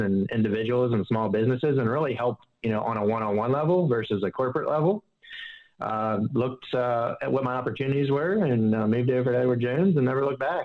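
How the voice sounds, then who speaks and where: Speaking very fast with a slight Southern US accent, a man keeps a medium pitch and ordinary pitch variation. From Pittsburgh area, US. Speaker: financial advisor. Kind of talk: interview.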